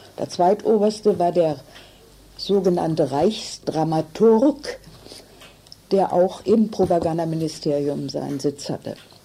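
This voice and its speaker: A very slow pace with long, frequent pauses and lively intonation. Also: woman, fairly low pitch for a woman. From northern Germany (Hannover). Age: 80s+. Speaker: contemporary witness, theatre scholar. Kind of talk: interview testimony.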